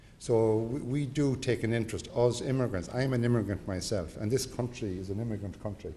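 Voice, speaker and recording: A man at a medium pitch speaks at a fairly quick pace with hardly any pauses and ordinary pitch variation, with audible room echo. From Ireland. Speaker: government representative for the Irish abroad. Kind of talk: formal welcome speech.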